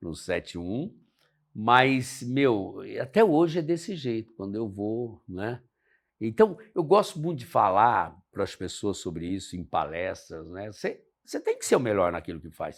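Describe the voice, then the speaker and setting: Very wide pitch swings and big swings in loudness from a man at a medium pitch, at a fairly slow pace, in a very clean recording with a silent background. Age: 70s. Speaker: pilot and motivational speaker. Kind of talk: casual interview chat.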